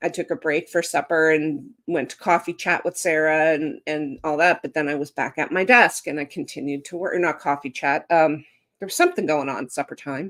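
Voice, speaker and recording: With a Canadian accent, a woman speaks at a fairly quick pace. Her pitch is very deep and low, with ordinary pitch variation. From Canada, rural upbringing. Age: 50s. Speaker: author and live-stream host. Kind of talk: casual live chat. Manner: animated, conversational with fillers.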